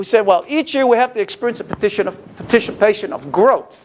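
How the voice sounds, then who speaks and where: An animated man talks at a high pitch. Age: 60s. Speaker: retired Marine, senior games organizer. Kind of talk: guest lecture. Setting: classroom with audience.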